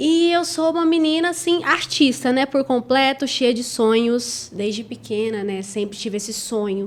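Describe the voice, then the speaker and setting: A woman at a moderate pace with lively intonation and hardly any pauses, against noticeable background noise. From Brazil, Goiás (Goiânia). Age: 20s. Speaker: model, actress and influencer. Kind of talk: podcast interview.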